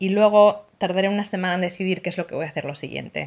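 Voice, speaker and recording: Sounding animated, a woman talks at a fairly quick pace in a fairly low pitch. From Spain, Asturias. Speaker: knitting podcaster. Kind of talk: casual monologue. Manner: fast. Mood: cheerful, chatty. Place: home room. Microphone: phone near.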